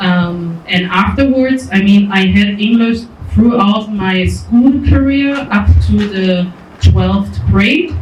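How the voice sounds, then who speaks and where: A woman with a German accent speaks at a very slow pace. Noticeable background noise and audible room echo surround her voice. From Germany. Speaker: volunteer teacher. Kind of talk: casual discussion.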